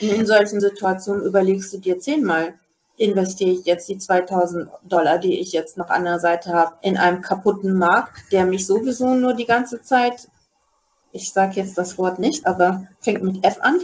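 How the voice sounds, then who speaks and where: A woman has a normal speaking voice with ordinary pitch variation. She speaks at a moderate pace. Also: medium pitch for a woman. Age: 40s. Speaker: day trader and retail investor. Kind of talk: casual chat. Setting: video call.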